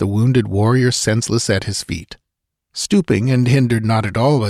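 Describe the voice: The text is read out plainly. Little sound comes from behind the voice.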